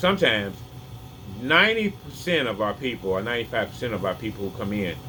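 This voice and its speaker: Noticeable background noise sits behind a man's voice. He talks very fast with lively intonation. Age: 50s. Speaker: health vlogger. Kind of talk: casual opinion vlog. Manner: halting.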